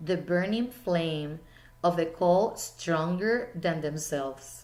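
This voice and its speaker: A woman with a Spanish accent speaks at a very slow pace. Her pitch is fairly low, with ordinary pitch variation. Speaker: teacher. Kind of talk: speech.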